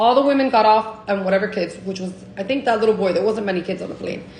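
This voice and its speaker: A woman talks with a fairly high pitch and ordinary pitch variation. Noticeable background noise runs underneath. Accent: American. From Miami. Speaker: Cuban American storyteller. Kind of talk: casual storytime to camera. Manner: casual, profane.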